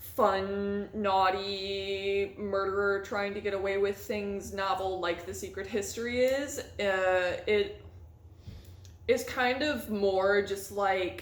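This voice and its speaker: A woman speaks at a very slow pace and medium pitch with fairly even intonation. Her voice carries audible room echo. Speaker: booktuber; PhD student. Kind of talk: casual vlog chat.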